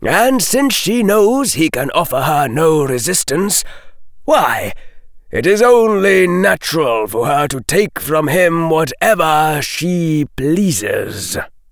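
A put-on character voice from a man, high-pitched and fairly slow. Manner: mild, equable, sardonic.

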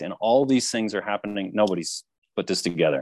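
Recorded very cleanly against a silent background, a man with a fairly low pitch uses an ordinary speaking voice with ordinary pitch variation, the sound dry and close with no echo. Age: 40s. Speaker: author and researcher. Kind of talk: interview.

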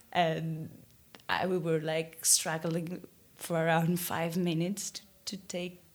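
In a Greek accent, a woman with a fairly low voice speaks very slowly, leaving long, frequent pauses. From Greece, Athens. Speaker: listener caller. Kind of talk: recorded voicemail story.

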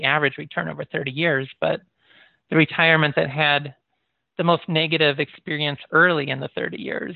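A man in a Midwestern American accent, with a fairly high pitch, fairly even intonation and a fairly quick pace. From US Midwest (Michigan and Iowa). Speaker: professor. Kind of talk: interview.

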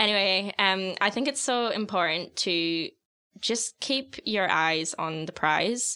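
A woman with a North American accent speaks very slowly at a medium pitch, her tone bright and sharp. Her intonation is lively, and the recording is very clean with a silent background. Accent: North American-sounding. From outside Australia, moved to Sydney in 2016. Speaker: graduate recruiter. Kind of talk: casual chat.

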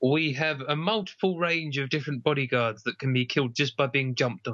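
A man speaks fairly quickly at a medium pitch with ordinary pitch variation. The tone is bright and sharp.

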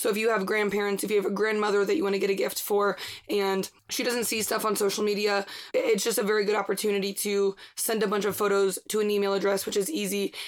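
A woman at a medium pitch, very fast pace and monotone, flat intonation. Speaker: podcast host. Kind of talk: casual chat. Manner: fast talker.

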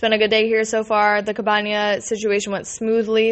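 A fairly high-pitched woman at a fairly quick pace. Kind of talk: casual chat. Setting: cell phone recording while traveling. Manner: fast.

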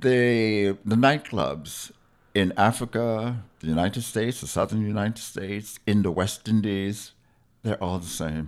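This man has a plain, everyday voice, fairly low in pitch with ordinary pitch variation, speaking fairly slowly with an American accent on a very clean recording with a silent background. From US Virgin Islands (St. Thomas). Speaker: historian and educator. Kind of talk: interview. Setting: radio studio.

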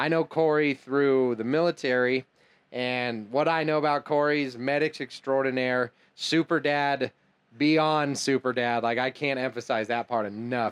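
At a medium pitch and moderate pace, a man uses an ordinary speaking voice with fairly even intonation and very even loudness. The sound is dry and close with no echo, the background quiet. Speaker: podcast host. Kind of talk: casual interview chat.

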